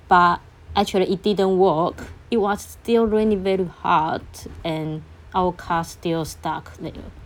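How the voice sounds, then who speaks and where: Spoken in a Chinese accent at a fairly slow pace, the intonation stays fairly even. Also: woman, medium pitch for a woman. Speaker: podcaster. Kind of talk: storytelling monologue. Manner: halting.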